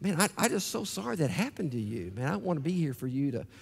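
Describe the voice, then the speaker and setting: Very fast speech from a man, with very wide pitch swings and vocal fry. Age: 60s. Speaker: pastor. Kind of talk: sermon. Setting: church. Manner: animated. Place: church. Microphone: headset.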